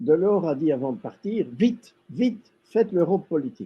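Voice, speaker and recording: A man talks at a moderate pace. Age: 80s. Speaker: retired European civil servant, former priest. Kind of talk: interview.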